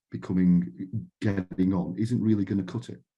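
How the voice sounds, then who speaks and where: Dark and mellow, a man's very deep, low voice moves at a fairly quick pace with audible room echo. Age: 50s. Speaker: panel speaker from a retail co-operative. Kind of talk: conference panel talk. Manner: halting, with repeated words and false starts.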